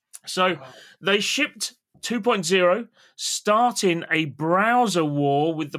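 Very slowly and with lively intonation, a man with a British accent speaks in a bright, sharp tone, recorded very clean and dry, close, with no echo and a silent background. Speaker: podcast host. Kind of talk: casual chat.

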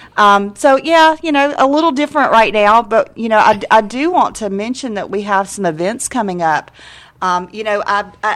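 In a plain, everyday voice, a woman speaks at a moderate pace with a fairly high pitch and ordinary pitch variation. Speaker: university academic affairs administrator. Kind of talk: casual interview.

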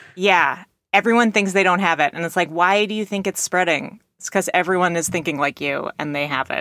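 A woman speaks fast-ish in a Californian accent, at a medium pitch with a bright, sharp tone. The sound is dry and close, with no echo. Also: ordinary pitch variation. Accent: California American. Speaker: podcast co-host. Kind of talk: casual chat, comedy podcast.

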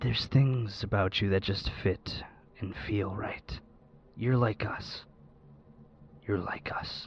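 Using a put-on character voice, a man with a fairly low pitch talks at a fairly slow pace with long, frequent pauses. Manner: creepy, wild.

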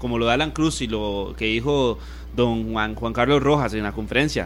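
A man talks fairly quickly, and audible room echo follows his voice. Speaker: sports radio co-host. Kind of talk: sports talk radio.

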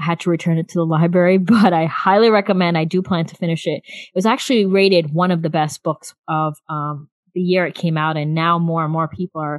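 A woman with an American accent, fairly low pitch, fairly quick pace, a plain, everyday voice and fairly even intonation. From US South, South Florida. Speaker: podcast host, mother. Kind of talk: casual chat.

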